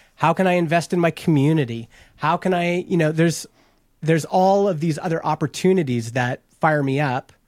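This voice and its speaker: In a very clean recording with a silent background and a dry, close sound with no echo, a man with an unremarkable speaking voice talks at a fairly quick pace, fairly high in pitch, with ordinary pitch variation. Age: 40s. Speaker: podcast hosting company co-founder. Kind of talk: casual interview.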